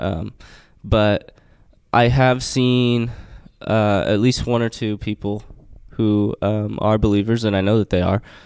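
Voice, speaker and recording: A man with a fairly low pitch and fairly even intonation speaks at a very slow pace with long, frequent pauses, in a very clean recording with a silent background. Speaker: college basketball player. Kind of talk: interview. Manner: hesitant, many fillers.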